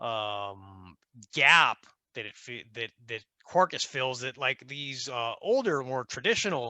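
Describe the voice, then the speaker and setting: In a dry, close sound with no echo, a man with an American accent talks at a very slow pace, his bright, sharp tone at a medium pitch with ordinary pitch variation. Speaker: software engineer, conference speaker. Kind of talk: tech conference talk. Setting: online conference with screen share. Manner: many filler words and self-corrections.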